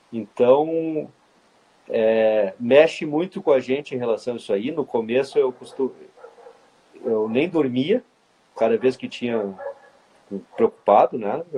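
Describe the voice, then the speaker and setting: The speaker uses lively intonation and a fairly slow pace, with long, frequent pauses. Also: man, medium pitch for a man. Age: 40s. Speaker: orthopedic spine surgeon. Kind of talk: casual interview.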